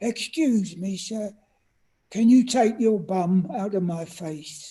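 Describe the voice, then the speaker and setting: At a fairly slow pace, a squeaky put-on character voice speaks at a middle pitch. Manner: polite but annoyed.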